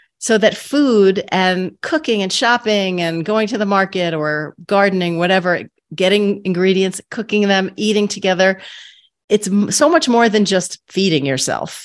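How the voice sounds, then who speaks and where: Heard in a very clean recording with a silent background, a woman with a plain, everyday voice and an American accent speaks at a moderate pace and medium pitch, with ordinary pitch variation. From New York, Queens. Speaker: podcast host, nutritionist. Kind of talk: interview.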